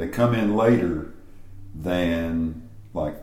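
Noticeable background noise surrounds a man whose very deep, low voice shows ordinary pitch variation. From East Tennessee (Greeneville). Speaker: cookbook author and gardening teacher. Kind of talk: interview. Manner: calm.

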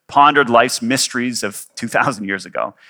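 At a fairly quick pace, a man with a Canadian accent speaks in a bright, sharp tone with ordinary pitch variation, on a very clean recording with a silent background. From Canada. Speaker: pastor. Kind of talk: sermon. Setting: church. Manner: casual.

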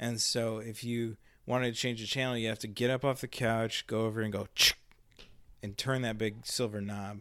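Monotone, flat intonation from a man at medium pitch and moderate pace, in a very clean recording with a silent background. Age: 40s. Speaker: pastor. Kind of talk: casual chat. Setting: home studio in a spare bedroom.

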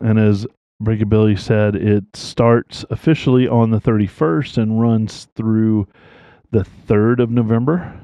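In an ordinary speaking voice with an American accent, the speaker talks at a fairly slow pace with fairly even intonation and very even loudness. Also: man, medium pitch for a man. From US South. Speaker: podcast host. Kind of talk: casual chat.

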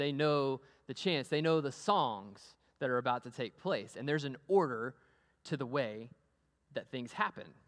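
Speaking with a Texan accent, this man sounds animated. He moves at a fairly slow pace. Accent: Texan American. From US, Amarillo, Texas. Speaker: pastor. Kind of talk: sermon. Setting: church.

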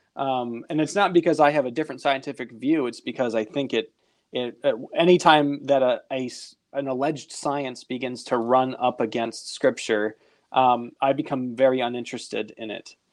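Against a quiet background, a man talks at a moderate pace in an unremarkable speaking voice. His pitch is medium and his intonation fairly even. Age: 30s. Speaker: podcast host. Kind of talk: casual chat.

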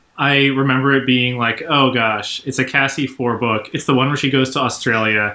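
This is a normal speaking voice. A man talks at a medium pitch and a moderate pace. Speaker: podcast co-host. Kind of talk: casual chat.

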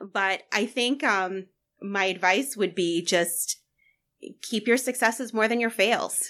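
A woman with an American accent speaks at a very slow pace, her fairly high pitch showing ordinary variation and a bright, sharp tone. The recording is very clean, with a silent background. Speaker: guest, small business owner.

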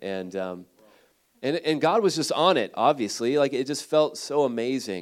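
A man with a Midwestern American accent speaks at a medium pitch and a fairly quick pace. His voice comes through a very clean recording with a silent background. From Ohio, Cleveland area. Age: 30s. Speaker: missionary. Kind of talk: sermon. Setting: church.

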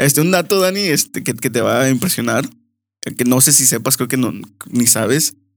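A man speaks with vocal fry and lively intonation at a very even loudness, in a very clean recording with a silent background. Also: medium pitch for a man, moderate pace. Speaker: host's brother, guest. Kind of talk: casual chat.

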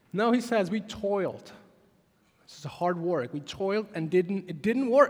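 A high-pitched man with a Czech accent, fairly slow pace, lively intonation and big swings in loudness. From Czech Republic. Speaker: pastor. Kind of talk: sermon. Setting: church.

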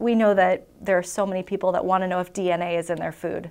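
A woman's plain, everyday voice with an American accent, fairly low in pitch, fairly quick in pace and fairly even in intonation. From southeast Minnesota. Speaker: food industry communications director. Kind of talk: casual interview.

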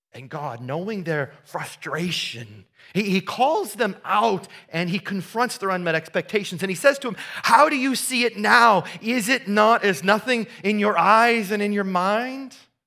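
A man with a Midwestern American accent speaks at a fairly slow pace in a raised, projected voice that is high-pitched with a bright, sharp tone. His intonation is lively. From US Midwest, southeast Iowa. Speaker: pastor. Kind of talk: sermon. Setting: church. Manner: conversational.

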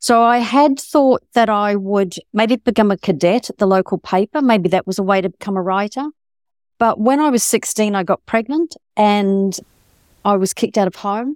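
On a very clean recording with a silent background and a dry, close sound with no echo, a woman with a New Zealand accent speaks at a medium pitch and a moderate pace with ordinary pitch variation. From rural New Zealand. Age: 60s. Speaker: novelist. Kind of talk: interview.

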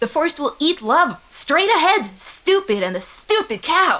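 A put-on character voice, high-pitched, at a moderate pace with very wide pitch swings. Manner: insulting, loud.

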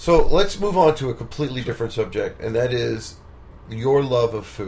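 A man's lively intonation, laced with vocal fry. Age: 40s. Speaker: musician and podcast host. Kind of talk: casual interview. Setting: home studio.

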